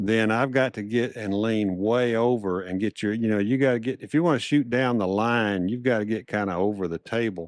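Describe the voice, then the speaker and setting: In a very clean recording with a silent background, a man talks at a fairly quick pace with ordinary pitch variation in an ordinary speaking voice. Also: medium pitch for a man. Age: 60s. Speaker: craps YouTuber and podcast co-host. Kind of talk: casual chat.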